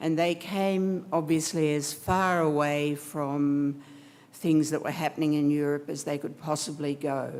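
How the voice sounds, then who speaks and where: Very slowly and with fairly even intonation, the speaker talks in an Australian accent. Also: woman. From Australia, Melbourne. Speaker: architect, guest speaker. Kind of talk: speech to an audience.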